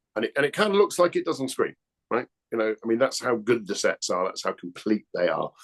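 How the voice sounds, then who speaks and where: Very fast speech from a man with an English accent, dry and close with no echo. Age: 60s. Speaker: actor. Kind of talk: casual chat.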